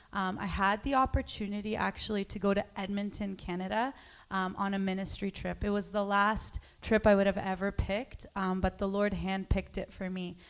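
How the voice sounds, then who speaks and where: A woman speaks at a medium pitch and a moderate pace. Her intonation stays flat and monotone. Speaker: congregant. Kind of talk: testimony.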